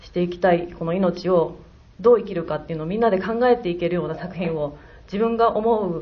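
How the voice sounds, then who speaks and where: There's noticeable background noise and audible room echo here. Through it, a woman talks at a moderate speed. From Hyogo, Kansai (Kakogawa). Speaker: film director. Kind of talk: post-screening talk. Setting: stage with audience.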